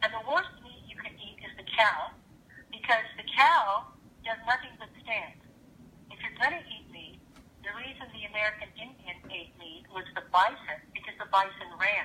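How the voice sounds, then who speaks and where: Against noticeable background noise, a woman with a fairly high voice uses lively intonation and big swings in loudness. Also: moderate pace. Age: 60s. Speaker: actress and health expert guest. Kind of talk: radio interview. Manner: animated.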